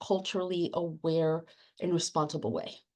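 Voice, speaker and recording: A woman talks at a fairly quick pace in a Spanish accent. Her tone is dark and mellow, and the background is quiet. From Latin America, immigrant to the US. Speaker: academic librarian and book editor. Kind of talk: panel discussion. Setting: webinar. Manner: hesitant, with fillers and repeated words.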